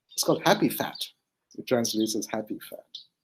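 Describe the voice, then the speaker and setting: The voice has a dark, mellow tone and ordinary pitch variation, with a Manipur accent. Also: man. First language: Manipuri. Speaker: writer and translator. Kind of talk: interview. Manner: halting, with many fillers.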